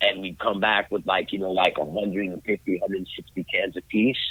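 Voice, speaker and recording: Fairly quick, fairly even-toned speech from a man with a fairly low pitch. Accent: New York. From New York, Brooklyn. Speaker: graffiti artist. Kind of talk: casual chat.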